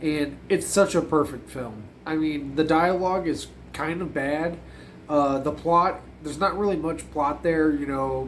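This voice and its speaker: There is audible room echo as a man talks at a fairly slow pace. His pitch is fairly high and his intonation fairly even. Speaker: horror movie reviewer. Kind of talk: casual video review. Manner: casual, filler-heavy.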